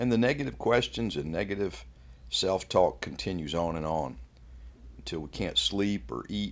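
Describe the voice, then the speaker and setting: Very deep and low, a man's voice carries vocal fry and very wide pitch swings at a moderate pace. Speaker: Bible devotion speaker. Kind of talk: devotional talk ending in fervent prayer. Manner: earnest, fervent, reverent; measured, preacherly.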